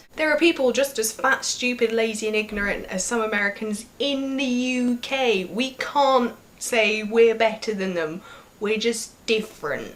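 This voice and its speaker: A woman with a British accent speaks at a fairly slow pace and a fairly high pitch. Her pitch variation is ordinary, with noticeable background noise behind her. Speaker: vlogger. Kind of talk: vlog monologue.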